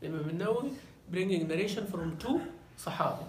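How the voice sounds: Strong room echo carries a man's high-pitched voice.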